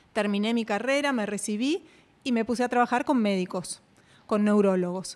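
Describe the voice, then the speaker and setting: A woman speaks at a moderate pace with a fairly high pitch. Her pitch variation is ordinary. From Argentina. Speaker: radiation oncologist and health coach. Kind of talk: interview.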